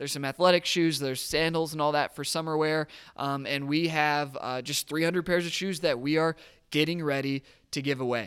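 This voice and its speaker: A man speaks at a fairly high pitch in an enthusiastic, animated tone. The recording is very clean, with a silent background. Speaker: podcast host. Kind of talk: casual community podcast update. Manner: fast talker when excited.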